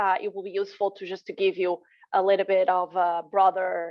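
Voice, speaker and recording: A woman with a Portuguese accent, at a moderate pace. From Portugal. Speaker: postdoctoral researcher. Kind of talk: webinar presentation.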